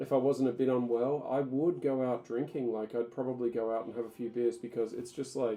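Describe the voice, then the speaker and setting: The speaker has an Australian accent. There are hardly any pauses. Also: man, medium pitch for a man, fairly quick pace. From Tasmania, Australia. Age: 30s. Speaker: ESL teacher. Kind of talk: casual talk to camera.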